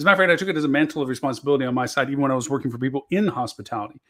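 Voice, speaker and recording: A man's fairly high-pitched voice with ordinary pitch variation, on a very clean recording against a silent background. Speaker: marketing show host. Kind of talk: solo talk show monologue. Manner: fast; passionate, animated.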